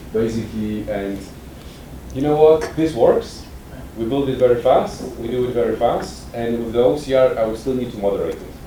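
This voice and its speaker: The voice has ordinary pitch variation and a moderate pace. Noticeable background noise and audible room echo surround it. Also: man, medium pitch for a man. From Poland. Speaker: transparency activist presenting at a conference. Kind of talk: conference session presentation with Q&A. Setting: conference room with audience. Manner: halting, with many repetitions and fillers.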